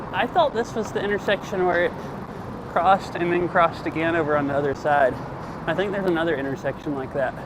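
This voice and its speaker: Noticeable background noise runs behind a man with a high pitch. He speaks at a very fast pace with ordinary pitch variation. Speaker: IRL streamer. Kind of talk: casual live-stream chat while biking. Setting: outdoors on a bike. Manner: casual, rambling with fillers.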